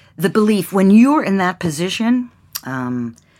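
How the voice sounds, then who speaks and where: A woman talks at a moderate pace with an American accent. The recording is very clean, with a silent background. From Pittsburgh area, Pennsylvania. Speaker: casting director and producer. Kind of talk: interview. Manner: halting.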